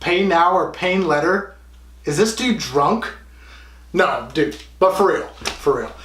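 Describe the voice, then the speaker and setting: Amid audible room echo, a man speaks at a fairly slow pace with ordinary pitch variation. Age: 20s. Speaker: fitness vlogger. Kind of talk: vlog monologue. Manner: halting; casual.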